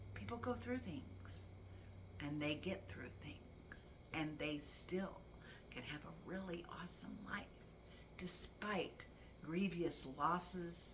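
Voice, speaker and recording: Audible room echo surrounds a woman's voice. Her pitch is very deep and low, and her pace very slow. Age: 60s. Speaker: vlogger. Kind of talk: personal testimony vlog.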